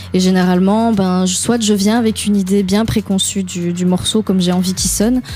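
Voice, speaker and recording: A woman at medium pitch speaks at a fairly quick pace with hardly any pauses, her intonation monotone and flat. Her loudness stays very even over noticeable background noise. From Belgium, Liège. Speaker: singer-songwriter and pianist. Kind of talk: radio interview. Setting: radio studio. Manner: hesitant, many fillers.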